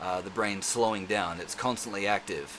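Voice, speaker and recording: A man with an Australian accent talks with ordinary pitch variation amid noticeable background noise and audible room echo. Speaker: self-defence instructor vlogger. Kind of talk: casual vlog monologue. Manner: fast; rambling with many fillers.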